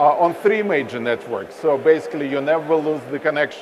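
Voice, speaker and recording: Noticeable background noise accompanies a man with a fairly high pitch. He keeps a moderate pace and ordinary pitch variation. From Russia. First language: Russian. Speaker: telecom company representative. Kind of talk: onstage interview. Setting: stage with audience at expo.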